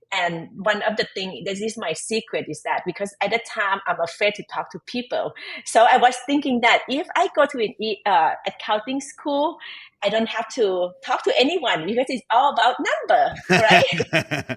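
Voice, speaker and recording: A woman speaks at a moderate pace with a Thai accent. Her voice sits fairly high and her pitch swings very widely. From Thailand. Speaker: tax advisor and entrepreneur. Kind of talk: podcast interview. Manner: halting, with many fillers and restarts.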